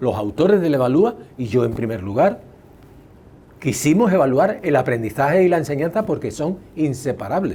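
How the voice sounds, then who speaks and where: With a dark, mellow tone and a somewhat breathy quality, a man speaks at a fairly high pitch, his voice swinging very widely up and down. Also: moderate pace. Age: 70s. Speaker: educational psychologist and test author. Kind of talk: interview.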